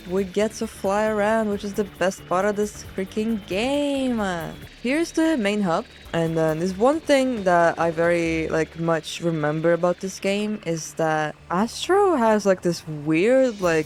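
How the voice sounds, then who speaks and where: At a fairly slow pace, a woman of medium pitch talks with lively intonation. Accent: non-native. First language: not English. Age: 20s. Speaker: gaming video creator. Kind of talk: game commentary. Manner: casual, filler-heavy.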